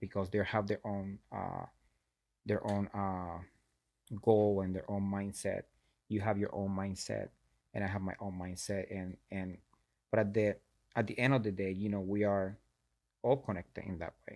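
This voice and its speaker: A man with a fairly low pitch speaks in a monotone, flat way. He leaves long, frequent pauses on a very clean recording with a silent background. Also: moderate pace. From Puerto Rico. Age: 30s. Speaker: fitness professional and triathlete. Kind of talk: casual interview chat. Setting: studio.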